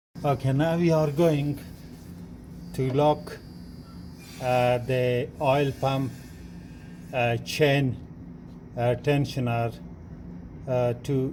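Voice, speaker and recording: With a non-native accent, a man talks very slowly at a medium pitch in a dark, mellow tone, with fairly even intonation, long and frequent pauses, and audible room echo. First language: not English. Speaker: car mechanic. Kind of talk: tutorial. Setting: garage workshop. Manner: halting, many fillers.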